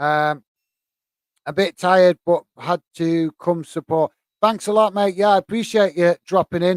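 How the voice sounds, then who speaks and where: In a Lancashire accent, a man speaks at a high pitch with fairly even intonation, in a dry, close sound with no echo. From northern England, Bolton. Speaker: football YouTuber. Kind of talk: live stream chat. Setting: live stream. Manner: fast; hesitant, many fillers.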